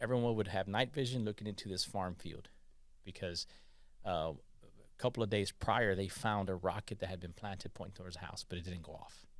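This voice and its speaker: Speaking at a fairly quick pace, a man with a fairly low pitch shows ordinary pitch variation and big swings in loudness. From California, Mexican immigrant family. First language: Spanish. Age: 40s. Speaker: army veteran. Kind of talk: interview storytelling. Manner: animated, hesitant fillers.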